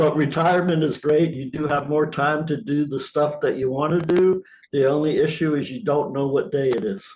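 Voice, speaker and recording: A man talks in an ordinary speaking voice, fairly high in pitch, with fairly even intonation. His pace is moderate and he hardly pauses. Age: 60s. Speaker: playwright and group organizer. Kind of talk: casual chat. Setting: video call.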